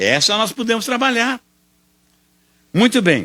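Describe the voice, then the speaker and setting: Over a very clean, silent background, a man uses a raised, projected voice with a bright, sharp tone at a moderate pace. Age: 70s. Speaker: spiritist lecturer. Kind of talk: lecture.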